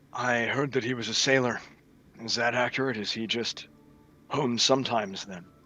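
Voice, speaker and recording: Using a put-on character voice, a man speaks at a medium pitch and moderate pace with fairly even intonation, leaving long, frequent pauses while music plays in the background. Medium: actual play. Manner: stoic, direct.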